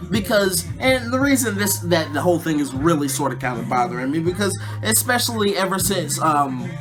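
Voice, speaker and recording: A man's medium-pitched voice at a fairly quick pace, with very wide pitch swings and hardly any pauses, audible room echo and music in the background. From US South. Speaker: YouTube talk show host. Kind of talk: casual monologue. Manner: rambling, filler-heavy.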